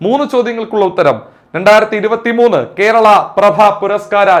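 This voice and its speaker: A man speaks in a high pitch. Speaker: exam coaching teacher. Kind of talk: lecture. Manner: repetitive, emphatic drilling.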